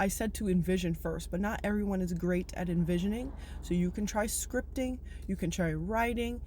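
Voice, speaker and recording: A woman's medium-pitched voice at a moderate pace, with ordinary pitch variation, very even loudness, and audible room echo. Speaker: spiritual self-help vlogger. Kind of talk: motivational monologue to viewers. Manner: animated.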